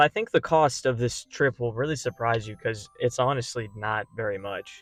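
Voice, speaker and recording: Moderate speed and ordinary pitch variation from a man's medium-pitched voice, an ordinary speaking voice. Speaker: vlogger. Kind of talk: travel vlog narration. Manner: casual.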